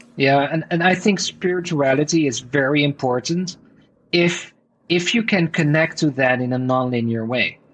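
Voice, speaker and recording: A man with a Dutch accent, his pitch fairly high with ordinary variation, at a moderate pace. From Netherlands. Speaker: entrepreneur and author. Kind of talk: podcast interview. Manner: animated.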